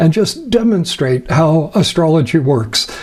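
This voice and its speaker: Against noticeable background noise, a man speaks at high pitch and a fairly slow pace with lively intonation. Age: 70s. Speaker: astrologer. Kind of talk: lecture. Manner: halting.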